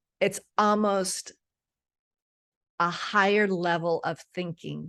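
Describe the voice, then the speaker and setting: A woman at a medium pitch, very slow pace and monotone, flat intonation. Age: 60s. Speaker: menopause coach. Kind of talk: casual interview chat. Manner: halting, many restarts.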